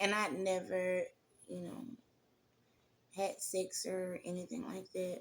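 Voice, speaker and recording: A woman speaks in a Southern accent at a medium pitch. Her pace is very slow, with long, frequent pauses. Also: ordinary pitch variation. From Mississippi, US South. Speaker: testimony vlogger. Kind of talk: personal testimony. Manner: conversational, many fillers.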